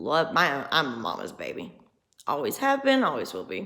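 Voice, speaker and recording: This is a woman's voice. She talks with a Southern US accent. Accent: country Southern US. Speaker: vlogger. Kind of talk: personal vlog monologue. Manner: casual, rambling conversational.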